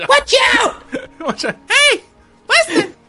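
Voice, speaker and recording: Faint music plays behind a put-on character voice pitched extremely high, with very wide pitch swings. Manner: shrill, attention-getting.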